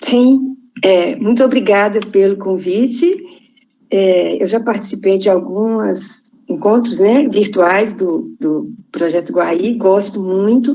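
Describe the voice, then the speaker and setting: The voice has a dark, mellow tone, moving at a very slow pace with ordinary pitch variation and very even loudness. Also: woman, medium pitch for a woman. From Minas Gerais, Brazil. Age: 60s. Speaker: farmer, retired bank employee. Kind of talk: online panel discussion.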